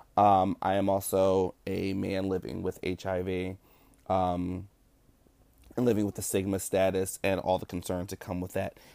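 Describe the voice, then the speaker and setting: A man with an American accent, very deep and low in pitch, dark and mellow in tone, flat and monotone at a moderate pace, in a very clean recording with a silent background. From Newark, New Jersey. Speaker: podcast host. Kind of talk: solo monologue podcast.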